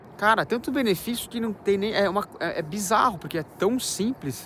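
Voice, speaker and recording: Pitched high, a man's voice moves at a moderate pace. Lively intonation runs through his delivery. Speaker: YouTuber. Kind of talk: casual vlog monologue.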